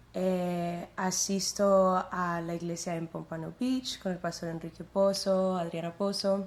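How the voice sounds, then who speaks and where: At a very slow pace, a woman speaks in a flat monotone with hardly any pauses. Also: medium pitch for a woman. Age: 20s. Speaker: church worship singer. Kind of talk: testimony interview.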